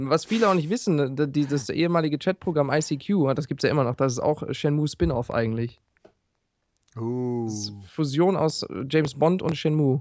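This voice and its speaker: A man speaks in a Ruhr accent with lively intonation and a fairly high pitch. He takes long, frequent pauses. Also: moderate pace. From Ruhr area, near Duisburg. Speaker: gaming podcast co-host. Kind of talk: casual chat.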